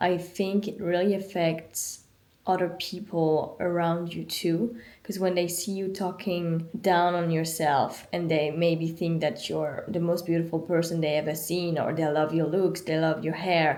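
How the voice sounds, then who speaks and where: With a French accent, a woman speaks at a fairly slow pace in a fairly low pitch, her tone dark and mellow and her intonation monotone and flat, with audible room echo. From France. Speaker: vlogger. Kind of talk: casual chat.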